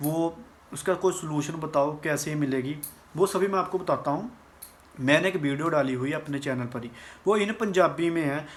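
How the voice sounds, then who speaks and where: A man speaks with a slight Punjabi accent at a fairly high pitch. His pitch varies in an ordinary way. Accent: Punjabi touch in Hindi. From Punjab, India. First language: Punjabi (speaking Hindi). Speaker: vlogger. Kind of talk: informational vlog. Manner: casual, somewhat halting.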